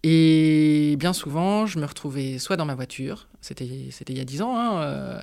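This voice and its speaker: On a very clean recording with a silent background, a woman with a very deep, low pitch and a dark, mellow tone speaks very slowly with lively intonation and hardly any pauses. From France, Nantes. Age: 40s. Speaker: coworking space founder. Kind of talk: interview. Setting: at the coworking space.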